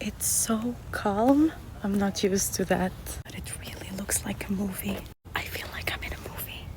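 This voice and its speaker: Whispered words come at a moderate pace with noticeable background noise behind them. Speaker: visitor to the US. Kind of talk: casual vlog. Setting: outdoors, walking in a neighborhood. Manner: whispering.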